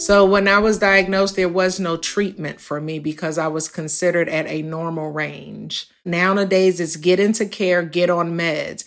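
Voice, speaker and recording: A woman with an ordinary speaking voice, fairly low pitch, fairly even intonation, moderate pace and hardly any pauses. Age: 50s. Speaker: patient living with HIV. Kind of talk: personal testimony.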